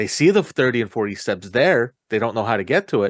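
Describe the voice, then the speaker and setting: A man at medium pitch and moderate pace, with a dry, close sound, no echo, and a quiet background. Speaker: podcast host. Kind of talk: interview. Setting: studio. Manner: halting.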